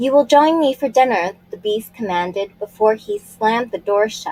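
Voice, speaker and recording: A woman's put-on character voice, gruff and growling, fairly high-pitched, at a moderate pace. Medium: read story. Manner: gruff, growling.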